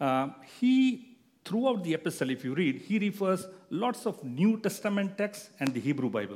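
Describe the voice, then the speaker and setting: The man's high-pitched voice moves through very wide pitch swings. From India. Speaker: guest preacher. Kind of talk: sermon. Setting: church. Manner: halting.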